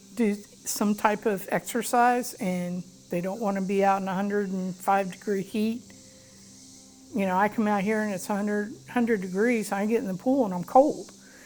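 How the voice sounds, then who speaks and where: Over music in the background, a woman speaks at a medium pitch with fairly even intonation and an American accent. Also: moderate pace. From Florida. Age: 60s. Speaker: customer testimonial. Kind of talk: testimony. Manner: hesitant with many fillers.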